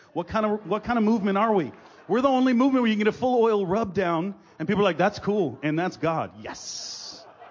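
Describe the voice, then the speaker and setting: Background noise is noticeable throughout. The speech moves at a fairly quick pace. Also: man, high pitch for a man, ordinary pitch variation. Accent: American. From Massachusetts, Gloucester north of Boston. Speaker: traveling preacher. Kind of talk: sermon. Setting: stage with audience. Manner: animated.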